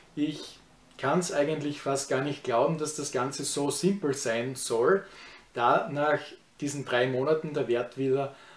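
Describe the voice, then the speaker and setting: A man's somewhat breathy voice. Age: 30s. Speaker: YouTuber. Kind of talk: vlog review of personal experience. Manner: casual, with many filler words.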